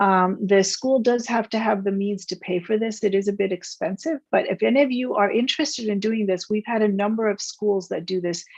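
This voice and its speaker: A woman with a normal speaking voice at medium pitch, ordinary pitch variation, a fairly quick pace and hardly any pauses. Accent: American. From United States. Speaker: space scientist and startup founder. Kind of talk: interview Q&A.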